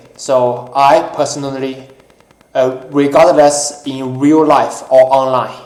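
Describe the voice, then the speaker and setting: A man's flat, monotone voice with audible room echo. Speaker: YouTuber, gun owner. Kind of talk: casual talk-show monologue. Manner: halting, many fillers.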